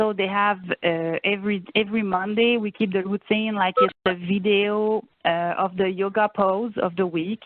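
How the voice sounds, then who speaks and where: This woman talks in a Quebec accent at a moderate pace. Her intonation stays fairly even. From Quebec, Saguenay–Lac-Saint-Jean. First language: French. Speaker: family and youth program coordinator. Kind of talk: presentation in video meeting. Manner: halting, many fillers.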